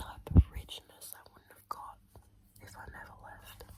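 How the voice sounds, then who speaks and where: A woman whispers over noticeable background noise. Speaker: ASMR creator. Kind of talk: ASMR whispered talk to camera. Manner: soft, whispered, intimate.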